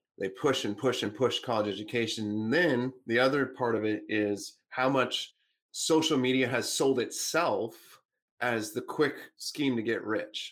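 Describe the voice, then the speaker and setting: This man has an ordinary speaking voice, medium in pitch with ordinary pitch variation, at a fairly slow pace. The recording is very clean, with a silent background. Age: 30s. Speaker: business coach and author. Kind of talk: interview.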